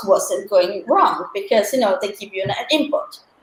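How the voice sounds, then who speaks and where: A woman talks, and room echo is audible around her. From Italy. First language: Italian. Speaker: marketing and sales professional. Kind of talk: panel talk in a live online career event.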